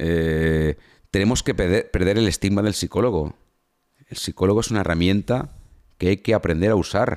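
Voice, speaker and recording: An animated man talks at a moderate pace with a fairly low pitch and ordinary pitch variation. The recording is very clean with a silent background and a dry, close sound with no echo. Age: 50s. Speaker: former soldier and entrepreneur. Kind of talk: casual interview.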